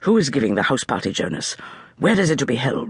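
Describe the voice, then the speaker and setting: A man uses a put-on character voice at a medium pitch. He talks at a very fast pace with very wide pitch swings. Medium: read story. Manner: terse, controlled.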